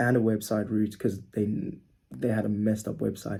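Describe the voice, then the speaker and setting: Intonation holds fairly even. The tone is dark and mellow, with some breathiness. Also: man. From South Africa. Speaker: social media marketing agency owner. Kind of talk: casual tutorial monologue.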